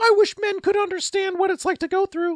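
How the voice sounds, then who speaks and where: At a fairly quick pace, a put-on character voice sounds at an extremely high pitch. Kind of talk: exaggerated, broad. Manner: nagging, complaining.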